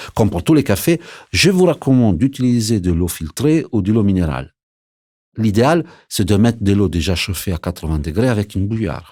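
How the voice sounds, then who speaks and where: With an Italian accent, a man speaks at a moderate pace in a dark, mellow tone and fairly low pitch, his pitch swinging very widely. The recording is very clean, with a silent background. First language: Italian (speaking French). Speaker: barista. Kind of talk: scripted narration. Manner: lively.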